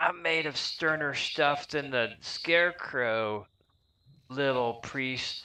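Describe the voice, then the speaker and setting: A man's put-on character voice, cackling, fairly high-pitched and very slow. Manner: cackling, taunting.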